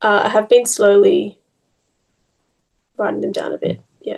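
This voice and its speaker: A woman's raspy, put-on character voice at a moderate pace. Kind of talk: casual, conversational. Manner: doubtful, hesitant.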